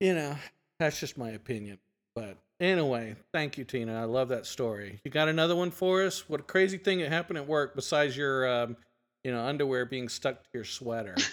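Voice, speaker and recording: In a very clean recording with a silent background, a man with an unremarkable speaking voice talks fairly quickly at a fairly high pitch with lively intonation. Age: 50s. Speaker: podcast host. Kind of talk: casual chat.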